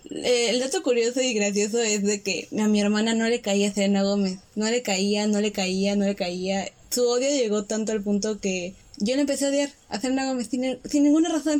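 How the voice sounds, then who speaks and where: With an ordinary speaking voice, a woman talks at a moderate pace in a fairly high pitch, with ordinary pitch variation and very even loudness. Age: 20s. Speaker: podcast co-host, graphic designer. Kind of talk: casual chat.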